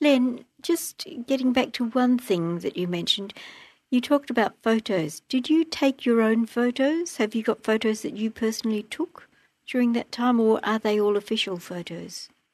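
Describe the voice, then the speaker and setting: A woman with a plain, everyday voice speaks at a moderate pace with a fairly high pitch and lively intonation. The sound is dry and close with no echo, over a quiet background. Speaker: interviewer. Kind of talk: reading background notes, interviewing.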